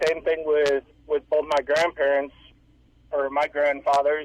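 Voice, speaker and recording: Recorded with a dry, close sound and no echo, a man speaks with a northern US accent. His pitch is fairly high and his pace fairly slow. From US Upper Midwest, around Michigan. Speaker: caller. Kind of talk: call-in radio talk.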